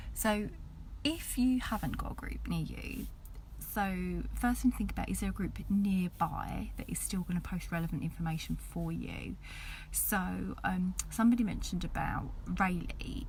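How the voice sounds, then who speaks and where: Whispering at a moderate pace, a woman is heard with audible room echo. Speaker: community group organiser. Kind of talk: casual video update. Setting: in a car with sleeping babies.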